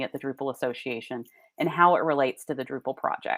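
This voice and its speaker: A woman with a slight Southern US accent, recorded very cleanly against a silent background, the sound dry and close with no echo. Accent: Southern US accent, mild. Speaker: association executive giving keynote. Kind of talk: conference keynote speech.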